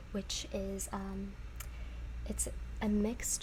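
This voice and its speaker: Noticeable background noise surrounds a woman's voice as she talks. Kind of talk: ASMR roleplay of a tea shop clerk. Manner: friendly, helpful, relaxed customer-service tone.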